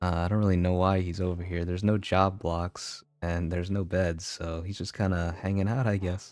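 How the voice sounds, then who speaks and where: Relaxed and dark, mellow in tone, a man with an American accent speaks at a fairly quick pace in a very deep, low pitch. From US South, Louisiana. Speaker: gaming YouTuber. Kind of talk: let's play commentary. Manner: casual, relaxed.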